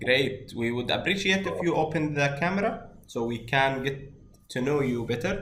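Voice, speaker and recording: A man with a non-native accent speaks amid audible room echo. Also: fairly high pitch for a man, lively intonation, moderate pace. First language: not English. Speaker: course instructor. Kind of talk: online class introduction.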